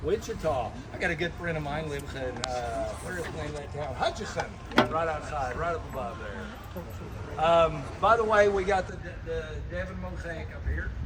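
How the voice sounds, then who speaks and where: With noticeable background noise and audible room echo, a man with an American accent speaks at a moderate pace, his loudness swinging widely. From Oklahoma City. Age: 60s. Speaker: tour guide. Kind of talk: guided tour commentary. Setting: outdoors on a boat. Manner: animated, joking.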